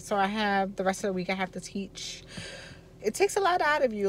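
A woman with an American accent, in a dry sound with no echo, with faint music in the background. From Baltimore, Maryland. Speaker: army instructor and vlogger; instructor. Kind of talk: casual vlog; classroom instruction. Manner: animated. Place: car. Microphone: phone near.

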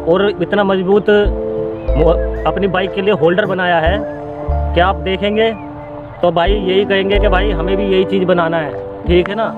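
A man at a fairly slow pace with long, frequent pauses, dry sound with no echo, and clear music in the background. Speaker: vlogger. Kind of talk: casual vlog chat. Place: open country.

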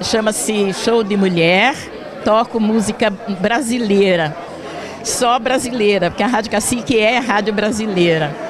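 Amid crowd noise, a woman with a fairly high pitch and ordinary pitch variation talks at a fairly slow pace, her loudness very even and the sound dry with no echo. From São Paulo state, Brazil. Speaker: radio presenter. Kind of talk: interview. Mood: warm, smiling. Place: hall. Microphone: handheld.

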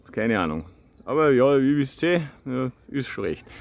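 A man is speaking. The sound is dry, with no echo. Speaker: nature educator; wild plant educator. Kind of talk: video tutorial. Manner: halting, with stutters and repetitions; casual, informal. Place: open country. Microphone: phone near.

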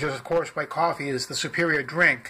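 Over light background noise, a man talks very fast in a bright, sharp tone with fairly even intonation. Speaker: product reviewer. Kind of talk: casual product review, reading label. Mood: dry, wry humor. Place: home room. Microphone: phone near.

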